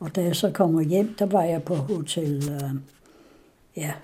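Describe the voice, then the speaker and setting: Speaking at a very slow pace, a woman has a fairly low, somewhat breathy voice with ordinary pitch variation. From Denmark, West Jutland (Ringkøbing). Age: 90s. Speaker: interviewee recounting her life. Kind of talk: oral history interview. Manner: halting.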